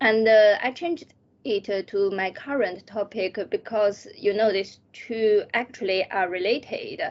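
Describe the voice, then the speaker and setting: Fairly slow, fairly high-pitched speech from a woman, with ordinary pitch variation. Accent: Chinese. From China. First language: Chinese. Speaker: PhD student. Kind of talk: interview. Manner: halting.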